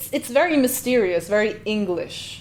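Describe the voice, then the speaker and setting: A woman speaks at a moderate pace with a fairly high pitch and ordinary pitch variation. Her tone is animated. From Slovenia. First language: Slovenian. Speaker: linguist reaction youtuber. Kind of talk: reaction video commentary.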